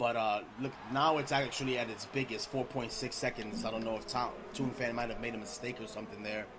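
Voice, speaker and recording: A man at medium pitch talks at a very fast pace. Audible room echo and noticeable background noise surround him. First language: not English. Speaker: esports race commentator. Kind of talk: live commentary. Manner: animated.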